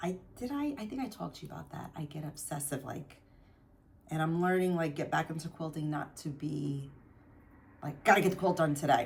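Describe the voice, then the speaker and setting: A woman's very deep, low voice at a fairly quick pace, with a New Jersey accent. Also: ordinary pitch variation. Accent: New Jersey American. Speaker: craft vlogger. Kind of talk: casual chat. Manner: rambling, hesitant with fillers.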